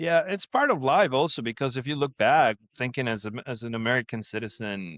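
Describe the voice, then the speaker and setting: In a Spanish accent, a man speaks at a moderate pace and medium pitch with ordinary pitch variation, in a dry, close sound with no echo. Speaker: insurance agency owner. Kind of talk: casual chat.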